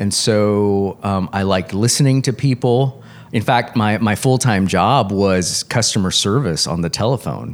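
An ordinary speaking voice with an American accent talks at a fairly slow pace with ordinary pitch variation. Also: man, fairly low pitch for a man. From Texas, Corpus Christi. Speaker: licensed professional counselor. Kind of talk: interview.

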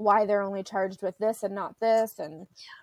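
A woman's plain, everyday voice in a Canadian accent, medium in pitch at a moderate pace, in a dry, close sound with no echo. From Ontario, Canada. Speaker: mental health advocate and social services worker. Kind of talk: casual interview.

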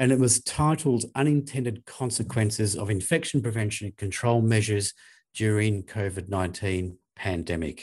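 In a very clean recording with a silent background, a man with an Australian accent and a fairly low pitch speaks at a moderate pace, sounding somewhat breathy. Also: ordinary pitch variation. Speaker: infection prevention specialist, podcast co-host. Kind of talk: casual professional discussion. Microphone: new desk microphone.

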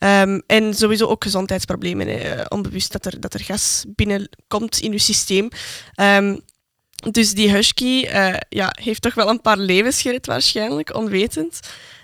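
Recorded dry and close with no echo, the speaker has a Flemish accent and ordinary pitch variation. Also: woman, medium pitch for a woman, fairly slow pace. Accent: Flemish Dutch. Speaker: podcast co-host, student. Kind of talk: casual chat.

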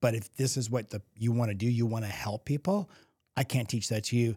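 On a very clean recording with a silent background, a man talks fairly quickly in a somewhat breathy, medium-pitched voice with ordinary pitch variation. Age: 50s. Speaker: podcast host. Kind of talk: casual chat.

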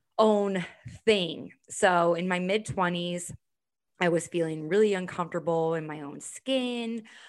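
On a very clean recording with a silent background, a woman speaks with an American accent and a plain, everyday voice. Her pace is fairly slow and her pitch variation ordinary. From US Midwest, Chicago. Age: 30s. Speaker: women's events host and fitness instructor. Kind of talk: podcast interview.

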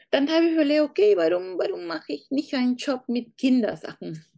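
This woman, in a Peruvian accent, has a high pitch, a dark, mellow tone and very wide pitch swings at a moderate pace. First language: Spanish (speaking German). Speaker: online shop founder. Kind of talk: interview. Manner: halting.

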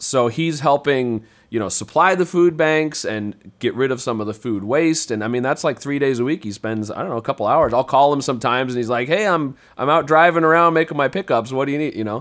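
Delivered in a plain, everyday voice with hardly any pauses and ordinary pitch variation, the speech comes on a very clean recording with a silent background. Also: man, fairly high pitch for a man. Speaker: podcast host. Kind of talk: casual interview chat.

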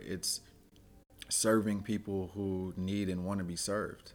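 A man with a West Coast accent, very deep, low pitch, flat monotone intonation, and a very slow pace. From Oakland, California. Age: 30s. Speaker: university athlete development director. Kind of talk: interview.

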